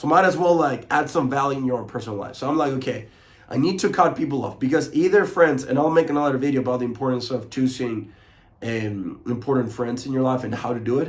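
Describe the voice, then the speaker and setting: A man talks at a very fast pace in a Spanish accent. His pitch is medium with ordinary variation, and the room echo is audible. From Chile. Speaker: motivational coach. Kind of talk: motivational talk to camera. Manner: mumbles a lot.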